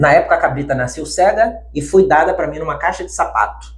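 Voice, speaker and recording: A man speaks at a moderate pace, and noticeable background noise can be heard behind him. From Bahia backlands, Brazil. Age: 30s. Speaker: bank worker, pet sheep owner. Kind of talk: interview, personal story.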